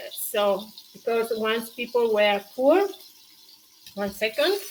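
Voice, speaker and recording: Over noticeable background noise, a woman with a fairly high pitch speaks at a very slow pace with ordinary pitch variation. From Tuscany, Italy. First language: Italian. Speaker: cooking show host. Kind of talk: live-stream cooking tutorial with viewer chat. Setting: live stream. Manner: halting, with many fillers.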